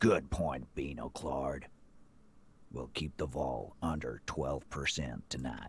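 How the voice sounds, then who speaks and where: Using a put-on character voice, a man speaks fairly slowly at a very deep, low pitch with ordinary pitch variation. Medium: game stream. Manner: gruff, swaggering.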